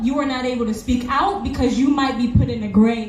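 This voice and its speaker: A loud, high-pitched woman's voice in an animated tone with ordinary pitch variation, plus audible room echo and noticeable background noise. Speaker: protest speaker. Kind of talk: rally speech.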